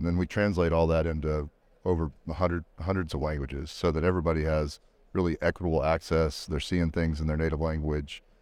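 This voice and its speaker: A man with an American accent talks at a very fast pace in a very deep, low pitch with fairly even intonation. The sound is dry and close with no echo, on a very clean recording with a silent background. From Texas. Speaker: education technology executive. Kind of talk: casual interview.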